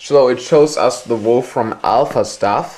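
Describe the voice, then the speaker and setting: A man with a German accent at a very slow pace. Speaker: tech reviewer. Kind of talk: product demonstration. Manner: halting.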